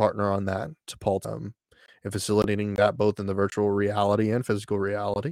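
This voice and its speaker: Delivered at a fairly quick pace in an American accent, the speech has monotone, flat intonation. The sound is dry and close with no echo, on a very clean recording with a silent background. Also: man. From Texas. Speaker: streamer and content creator. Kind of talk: solo livestream chat. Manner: halting, many fillers.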